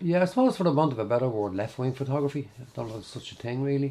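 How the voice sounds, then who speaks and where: A man's medium-pitched voice, dark and mellow in tone, with lively intonation. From Dublin, Ireland. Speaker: documentary photographer. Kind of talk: interview.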